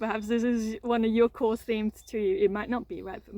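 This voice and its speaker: The speech comes at a fairly quick pace with monotone, flat intonation. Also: woman. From Austria. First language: German (Austrian). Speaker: trauma coach, content creator. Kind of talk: personal reflective monologue to camera. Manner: halting, many repetitions and fillers.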